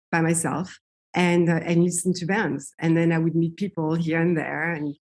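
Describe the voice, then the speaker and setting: In a French accent, a woman speaks at a moderate pace. Her pitch is fairly low. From France, Paris. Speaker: singer. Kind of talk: interview.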